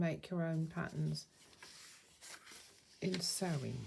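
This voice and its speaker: In a southern English accent, a woman talks very slowly with a fairly low pitch, a somewhat breathy, dark and mellow tone, and monotone, flat intonation. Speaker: craft youtuber. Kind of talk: show and tell tutorial. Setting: at home. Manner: soft-spoken; quiet.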